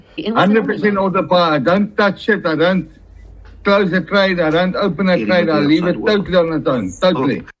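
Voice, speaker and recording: Talking at a fairly quick pace, a man keeps his loudness very even. His pitch is high, with ordinary variation. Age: 60s. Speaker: retired forex trader. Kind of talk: testimonial interview answer.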